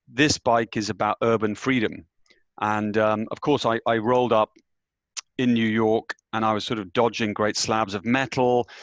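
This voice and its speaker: The recording is dry and close with no echo, as a man with a British accent speaks at a medium pitch and a moderate pace. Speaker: business executive. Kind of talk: panel discussion.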